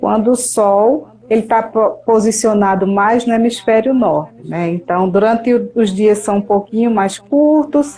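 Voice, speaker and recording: Using an ordinary speaking voice, a woman speaks at a fairly slow pace with fairly high pitch and ordinary pitch variation. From Brazil, Paraíba sertão (Patos). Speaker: meteorologist. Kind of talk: interview.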